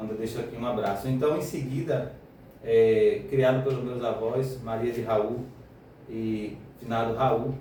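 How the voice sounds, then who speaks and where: Audible echo from the room and noticeable background noise both accompany this male voice. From Brazil, Northeast (Bahia interior). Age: 30s. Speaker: radio show guest. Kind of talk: radio interview, life story. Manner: hesitant, many fillers.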